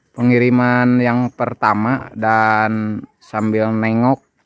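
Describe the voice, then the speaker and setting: A man speaks at a very slow pace in a medium pitch, his intonation flat and monotone. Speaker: sheep breeder and video host. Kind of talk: casual on-location vlog chat.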